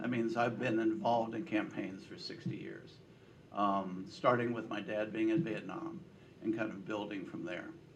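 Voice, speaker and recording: A man's medium-pitched voice at a moderate pace with lively intonation and big swings in loudness, plus audible room echo and noticeable background noise. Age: 70s. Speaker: political pollster. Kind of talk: speech to a breakfast meeting. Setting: breakfast meeting with audience.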